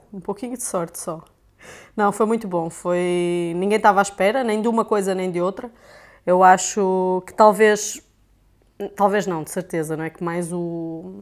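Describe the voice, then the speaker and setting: A woman with a European Portuguese accent talks at a fairly slow pace and medium pitch, with ordinary pitch variation, on a very clean recording with a silent background. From Portugal. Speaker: sports camera operator and video editor. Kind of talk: casual chat.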